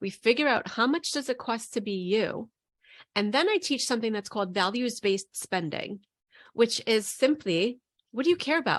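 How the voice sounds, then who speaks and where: A woman with a New York accent speaks in a fairly high, animated voice with lively intonation, on a very clean recording with a silent background. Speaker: money coach. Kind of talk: interview.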